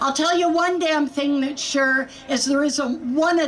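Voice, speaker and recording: A woman's high voice with ordinary pitch variation and noticeable background noise. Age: 70s. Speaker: patient advocate. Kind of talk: rally speech. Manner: animated.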